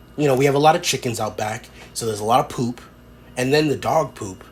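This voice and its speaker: Over noticeable background noise, a man talks at a fairly quick pace in a medium pitch with lively intonation. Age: 30s. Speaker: podcast host. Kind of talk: casual monologue. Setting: home room with door to backyard. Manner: rambling, filler-heavy.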